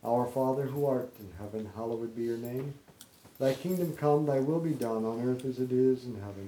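A man speaks at a moderate pace in a medium pitch, his dark, mellow tone carrying ordinary pitch variation. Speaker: rosary leader. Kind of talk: guided rosary prayer and meditation. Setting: home gathering with friends after a birthday party. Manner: fervent, devout, praying in a steady rhythmic cadence.

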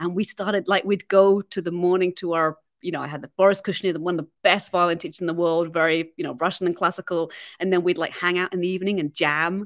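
A woman with a fairly low pitch speaks at a very fast pace in a monotone, flat intonation, with a dry, close sound with no echo on a very clean recording with a silent background. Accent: English. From England. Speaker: violinist. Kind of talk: interview. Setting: studio.

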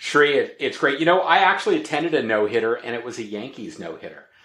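A man's bright, sharp voice with lively intonation and audible room echo. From Canada, Toronto. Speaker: retail loyalty and consumer data expert. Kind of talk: casual interview chat.

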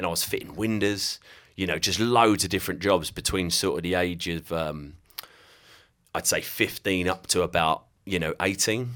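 In a southeast English accent, a man with a very deep, low pitch and ordinary pitch variation speaks at a moderate pace. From southeast England, Kent. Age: 30s. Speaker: digital marketing agency owner. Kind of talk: casual interview chat.

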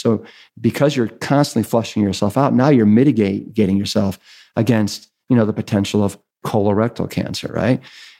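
A man with an American accent has a dark, mellow tone and a fairly low pitch. He speaks at a moderate pace on a very clean recording with a silent background. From US Midwest, Cleveland, Ohio. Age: 50s. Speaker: author and former firefighter and triathlete. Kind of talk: casual chat.

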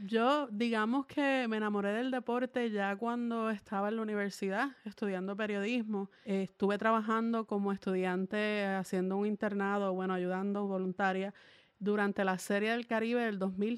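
A woman has a plain, everyday voice at medium pitch, speaking at a moderate pace with hardly any pauses. Her intonation is fairly even and her loudness very even. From Puerto Rico, Salinas. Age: 20s. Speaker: sports journalist and podcast co-host. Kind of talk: casual chat.

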